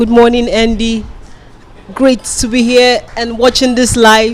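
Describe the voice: At a slow pace, a woman speaks with a fairly high pitch and little pitch movement.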